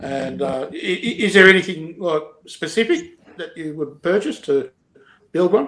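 A man with an Australian accent speaks fairly slowly at a high pitch, with ordinary pitch variation and big swings in loudness. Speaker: podcast host. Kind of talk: casual chat. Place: home room. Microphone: video call.

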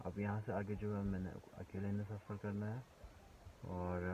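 Over noticeable background noise, a man speaks fairly slowly in a very deep, low voice with fairly even intonation and a dry sound with no echo. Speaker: travel vlogger. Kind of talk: casual vlog chat. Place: car. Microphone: phone near.

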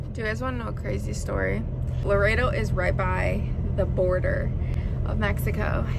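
A woman at a moderate pace, dry sound with no echo, over loud background noise. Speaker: truck driver vlogger. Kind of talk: casual vlog chat. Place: car. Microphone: phone near.

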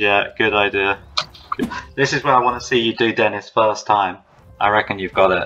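A man talks at a moderate pace, his intonation fairly even. He leaves long, frequent pauses. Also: fairly low pitch for a man. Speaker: game designer and producer. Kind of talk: casual gameplay commentary.

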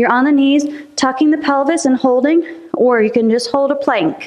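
Her pitch high, a woman talks at a moderate pace with fairly even intonation. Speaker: fitness instructor. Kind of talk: workout class instruction. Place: empty room. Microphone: camera far.

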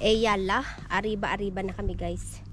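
The voice comes through a dry sound with no echo, set against loud background noise. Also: woman. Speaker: vlogger. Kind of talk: casual vlog chat. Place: garden. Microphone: phone near.

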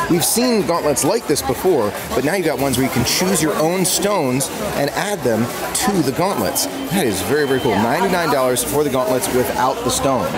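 Clear music in the background behind a man at a moderate pace. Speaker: theme park vlogger. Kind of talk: casual vlog chat. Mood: excited, enthusiastic. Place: shop. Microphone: phone near.

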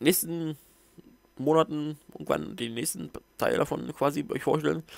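A man mumbles his words. The background is quiet and the sound is dry with no echo. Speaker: book reviewer. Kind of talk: casual book review to camera. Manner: mumbling. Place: home room. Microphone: headset.

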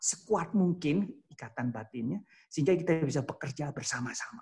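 Over a quiet background, the speaker moves at a fairly quick pace with lively intonation. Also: man. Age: 60s. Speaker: professor. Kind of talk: lecture. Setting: video call. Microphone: video call.

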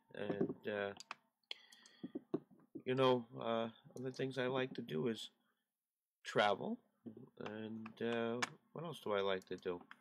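A man at medium pitch, very slow pace, ordinary pitch variation and long, frequent pauses, over noticeable background noise. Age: 40s. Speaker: YouTuber and amateur radio hobbyist; YouTuber, amateur radio hobbyist. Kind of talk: casual vlog to camera. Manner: hesitant, many fillers. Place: home room. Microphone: webcam.

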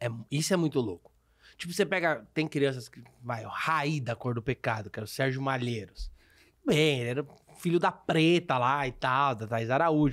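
At a moderate pace, a man with a fairly high voice speaks with ordinary pitch variation over a quiet background. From Brazil. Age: 30s. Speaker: podcast host, comedian. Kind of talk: casual chat. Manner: animated. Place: studio. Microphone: studio mic.

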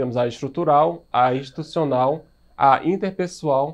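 A man talks in a normal speaking voice at a fairly slow pace, pitched fairly high. His intonation is fairly even, and the background is quiet. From Brazil. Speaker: high school biology teacher; biology teacher. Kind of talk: recorded video lecture. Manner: casual, filler-heavy (né, certo). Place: studio.

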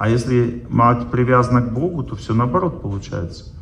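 A man talking at a fairly slow pace over noticeable background noise. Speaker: lecturer on health and spirituality. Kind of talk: seminar lecture with audience Q&A. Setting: stage with audience.

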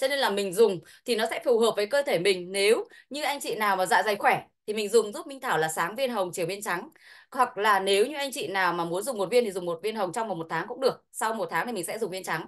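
A woman with lively intonation and a very fast pace over a quiet background. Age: 40s. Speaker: product expert; presenter. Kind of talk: sales pitch. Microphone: video call.

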